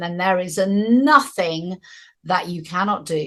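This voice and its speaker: A woman speaks against a quiet background. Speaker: spiritual teacher. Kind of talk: spiritual talk.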